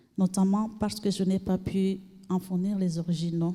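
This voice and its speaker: Here a woman is speaking. Her tone is dark and mellow, and somewhat breathy. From Burundi. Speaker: refugee, trainee. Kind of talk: testimony.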